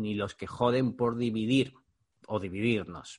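A plain, everyday voice from a man, medium in pitch, at a moderate pace. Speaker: podcast host, digital marketing mentor. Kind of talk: scripted monologue intro; casual interview.

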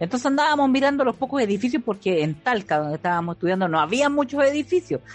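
Against a quiet background, a woman with a Chilean accent talks very fast in a high pitch, her voice making very wide pitch swings while its loudness stays very even. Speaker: podcast co-host. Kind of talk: casual chat.

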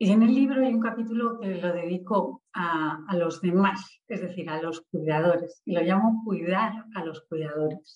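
With an ordinary speaking voice of medium pitch, a woman talks at a fairly slow pace with ordinary pitch variation and hardly any pauses. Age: 40s. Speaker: author and civil servant. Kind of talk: interview.

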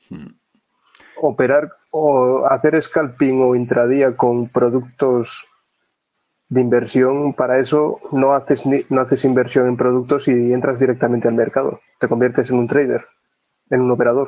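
This man speaks at a fairly slow pace and a medium pitch. His intonation is monotone and flat. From Asturias, northern Spain. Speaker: trader. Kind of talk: interview.

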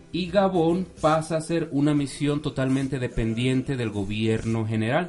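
Fairly slow speech from a man, medium in pitch and with ordinary pitch variation. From Mexico City. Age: 30s. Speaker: missionary brother. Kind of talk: radio interview.

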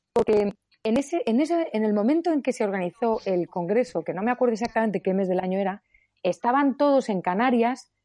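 With a Madrid accent, a woman talks at a fairly quick pace. Her fairly high pitch makes very wide swings. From Spain, Madrid. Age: 50s. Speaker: economics professor. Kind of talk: interview.

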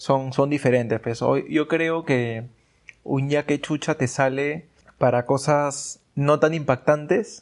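A man's fairly high voice at a very slow pace, with fairly even intonation. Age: 20s. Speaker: podcast guest. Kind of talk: casual chat.

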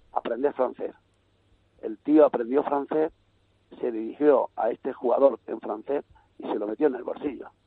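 A man talks at a moderate pace, with long, frequent pauses. His loudness swings in big ways. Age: 60s. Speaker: youth football coach. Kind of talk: radio interview.

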